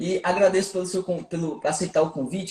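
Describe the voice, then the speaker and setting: A man with a northeastern Brazilian accent, high-pitched, at a very fast pace with fairly even intonation. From Brazil, Recife (Pernambuco). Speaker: aromatherapy teacher and podcast host. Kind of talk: live podcast interview.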